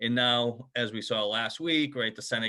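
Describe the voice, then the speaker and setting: A man with a Boston accent speaks at a medium pitch, his pitch varying in an ordinary way. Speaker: HR company founder. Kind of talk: sponsor interview.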